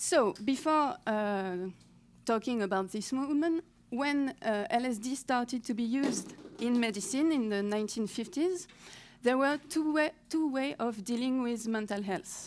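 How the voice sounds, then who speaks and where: With a French accent, a woman speaks at a fairly slow pace in a high-pitched voice. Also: lively intonation. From France. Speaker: historian researcher. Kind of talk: conference talk. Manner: halting, with many fillers.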